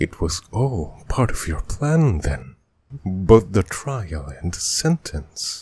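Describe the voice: A man does a put-on character voice, low-pitched with big pitch swings and a slow pace. The tone is slightly mellow with a husky, rough edge, and faint music plays in the background.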